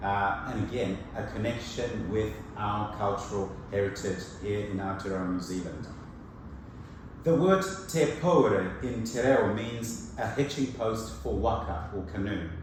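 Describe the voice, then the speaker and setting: A man speaks at a fairly slow pace and a fairly low pitch. There is audible room echo and noticeable background noise. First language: Shona. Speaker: preacher. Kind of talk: sermon.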